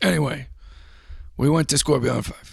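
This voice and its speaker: Using a put-on character voice, a man sounds raspy at a medium pitch and a moderate pace. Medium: comedy sketch. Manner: rambling, hesitant.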